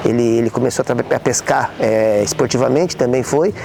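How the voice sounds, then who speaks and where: Noticeable background noise sits behind a man with a medium pitch. He speaks at a fairly quick pace with ordinary pitch variation. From Brazil, Caraguatatuba, São Paulo state coast. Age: 60s. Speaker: son of local sports promoter. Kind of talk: interview testimony. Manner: halting, many repetitions.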